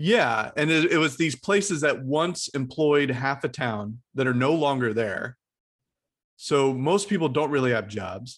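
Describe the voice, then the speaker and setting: Over a quiet background, a man with an ordinary speaking voice talks at a fairly slow pace, his fairly high pitch carried by lively intonation. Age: 40s. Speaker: podcast host. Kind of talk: casual chat.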